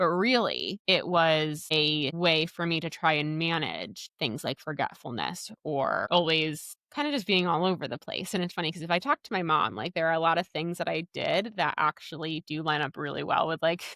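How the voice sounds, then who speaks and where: A woman speaks with hardly any pauses in a bright, sharp tone, her fairly low pitch varying in an ordinary way. The recording is very clean, with a silent background and a dry, close sound with no echo. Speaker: podcast host and dietitian. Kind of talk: casual solo podcast talk. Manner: fast; animated.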